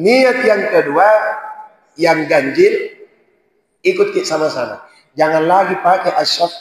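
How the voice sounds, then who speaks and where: There is audible room echo as a man speaks at a fairly slow pace with very even loudness and long, frequent pauses. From Sulawesi, Indonesia (born in Poso). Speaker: Islamic preacher. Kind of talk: sermon.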